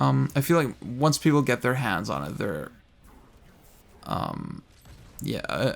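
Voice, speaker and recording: Mumbling with vocal fry, a man speaks at medium pitch with very wide pitch swings. His pace is very slow, broken by long, frequent pauses. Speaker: gaming video creator. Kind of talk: casual talk to camera. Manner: mumbly, hesitant.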